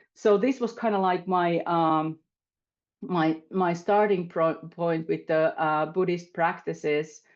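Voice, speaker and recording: With a Finnish accent, a woman speaks very slowly in a fairly low voice with ordinary pitch variation and very even loudness against a quiet background. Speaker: panelist. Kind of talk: panel discussion. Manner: halting.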